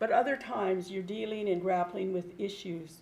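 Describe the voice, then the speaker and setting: With an American accent, the speaker talks at a fairly slow pace with vocal fry. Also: woman. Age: 70s. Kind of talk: public testimony. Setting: public meeting room.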